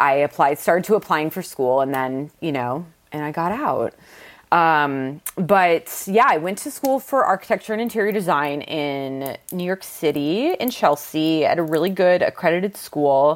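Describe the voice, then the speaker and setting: A woman with an ordinary speaking voice talks at a fairly low pitch. Her pace is moderate and her intonation lively. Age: 30s. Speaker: vintage clothing seller. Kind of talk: casual chat.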